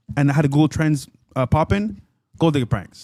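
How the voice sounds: A man talks at a fairly high pitch with a dark, mellow tone. The sound is dry and close, with no echo.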